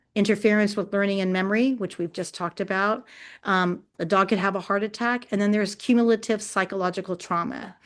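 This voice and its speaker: Against a quiet background, a woman talks at a very fast pace with medium pitch and fairly even intonation. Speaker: dog behavior consultant. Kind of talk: educational webinar presentation. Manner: passionate.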